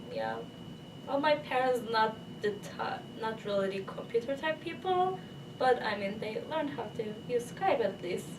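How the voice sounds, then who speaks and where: With a Turkish accent, a woman speaks at a moderate pace and fairly high pitch, her pitch swinging very widely, with long, frequent pauses, noticeable background noise and audible room echo. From Turkey. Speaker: international PhD student. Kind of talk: interview. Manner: halting, with fillers.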